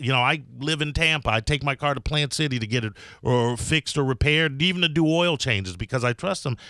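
A man with an American accent speaks in a bright, sharp tone at a fairly quick pace, with ordinary pitch variation and hardly any pauses. The recording is very clean, with a silent background and a dry, close sound with no echo. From Chicago. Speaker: radio host. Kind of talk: casual radio talk. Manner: halting.

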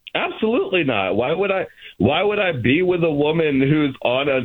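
At a moderate pace, a man with lively intonation speaks in a plain, everyday voice. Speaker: caller. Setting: phone call.

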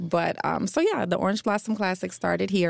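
A woman talking at a very fast pace amid noticeable background noise. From North Carolina. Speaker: event executive director. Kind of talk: radio interview. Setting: radio studio.

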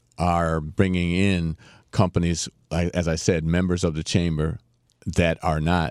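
A man with an American accent speaks at a very slow pace in a very deep, low voice. The sound is dry and close, with no echo. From Bahamas and Miami, Florida. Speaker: chamber of commerce president. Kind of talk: interview. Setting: studio.

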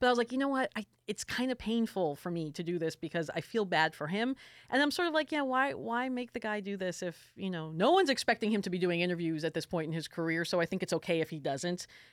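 A woman with a slight New York accent speaks at a very fast pace with a medium pitch and very wide pitch swings, in a dry, close sound with no echo. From South Florida, New York family. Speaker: music journalist and podcast co-host. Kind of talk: casual chat.

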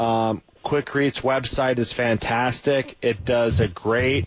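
Medium in pitch, a man talks in an unremarkable speaking voice with fairly even intonation. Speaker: radio producer and co-host. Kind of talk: call-in radio show. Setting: studio.

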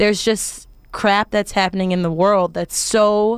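A woman with an American accent and a normal speaking voice talks at a fairly slow pace and a medium pitch. The sound is dry and close with no echo, in a very clean recording with a silent background. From US South, Arkansas. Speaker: stage actress. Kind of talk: radio interview. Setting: studio.

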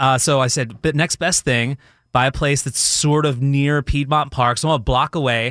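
A man with a plain, everyday voice and an American accent talks fairly quickly at medium pitch with ordinary pitch variation, recorded dry and close with no echo and a silent background. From Philadelphia area / South Jersey. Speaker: TV meteorologist. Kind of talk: radio interview, casual chat. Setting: radio studio.

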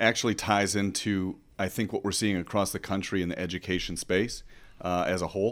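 A man's fairly low-pitched, ordinary speaking voice with an American accent, at a moderate pace, in a very clean recording with a silent background. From Michigan countryside. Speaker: congressional candidate, military veteran. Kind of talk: radio interview.

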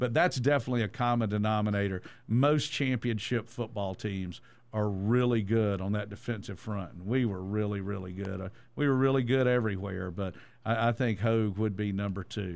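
A man with a Georgia accent speaks at a fairly quick pace and fairly low pitch in a very clean recording with a silent background. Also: ordinary pitch variation. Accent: Southern American (Georgia). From Georgia (Statesboro), US South. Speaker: sports radio host. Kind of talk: casual sports chat.

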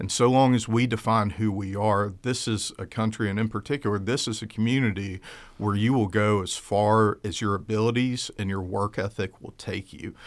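A man with a plain, everyday voice and an American accent talks at a fairly low pitch and a moderate pace, with fairly even intonation and hardly any pauses, on a very clean recording with a silent background. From US South (South Georgia). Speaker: attorney and political candidate. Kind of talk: radio interview. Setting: studio.

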